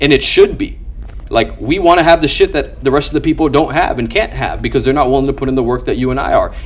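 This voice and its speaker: A man rattles along at a very fast pace while noticeable background noise plays. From immigrant, grew up outside English-speaking home. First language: not English. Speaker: business owner, sales closer. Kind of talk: casual interview chat. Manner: articulate; animated.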